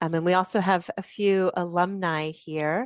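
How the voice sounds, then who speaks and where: A normal speaking voice from a woman with an American accent, fairly low in pitch with fairly even intonation, in a dry, close sound with no echo and a quiet background. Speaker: university lecturer. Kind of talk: online info session presentation. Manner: many filler ums.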